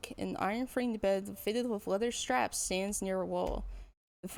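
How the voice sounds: A natural reading voice with ordinary pitch variation, heard against a quiet background.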